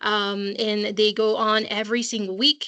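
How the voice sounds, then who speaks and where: A woman's fairly high, bright, sharp voice with a French accent. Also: quiet background. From France. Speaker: school college counseling assistant. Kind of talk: online parent information session. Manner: hesitant, many fillers.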